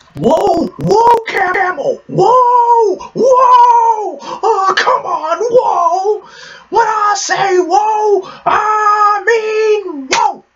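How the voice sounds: This put-on character voice has an extremely high pitch. It moves at a very slow pace.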